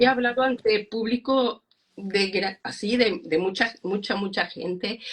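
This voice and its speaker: A woman's fairly high-pitched voice comes across as somewhat breathy. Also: ordinary pitch variation, fairly slow pace. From Mexico. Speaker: psychologist and speaker. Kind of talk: interview. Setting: Instagram live video call. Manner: halting.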